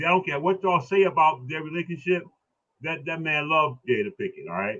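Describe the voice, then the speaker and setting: With an animated tone, a man talks very fast at a fairly high pitch, his pitch varying in an ordinary way. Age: 60s. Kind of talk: casual discussion on a live stream. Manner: animated, repetitive.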